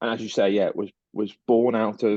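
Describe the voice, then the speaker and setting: With a British accent, a man speaks at a moderate pace in a fairly low, monotone, flat voice. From UK. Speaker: startup partnerships manager. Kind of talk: interview. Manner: halting, many fillers and repeats.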